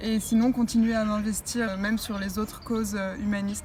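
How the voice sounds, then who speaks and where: Noticeable background noise sits behind a woman's voice. She speaks at a fairly high pitch and a moderate pace. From southern France, Nice. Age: 20s. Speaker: beauty pageant winner. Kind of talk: interview. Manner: hesitant, many fillers.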